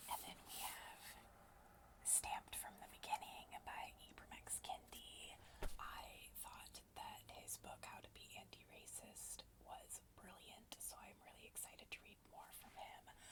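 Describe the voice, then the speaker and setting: A woman whispering at a fairly slow pace, with big swings in loudness. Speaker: booktuber and ASMR creator. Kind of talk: casual talk to camera, book chat. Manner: whispered.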